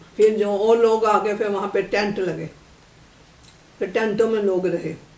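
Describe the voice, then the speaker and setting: A woman speaks at a medium pitch in a monotone, flat intonation. Noticeable background noise sits behind her. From Lahore, Pakistan. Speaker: partition survivor. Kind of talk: interview answer. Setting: home. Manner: candid, unguarded.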